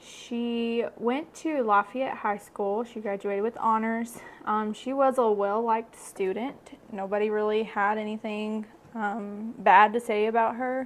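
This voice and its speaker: A woman speaks at a fairly slow pace with a Kentucky accent, her fairly high voice monotone and flat. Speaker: true crime podcaster. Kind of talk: casual chat.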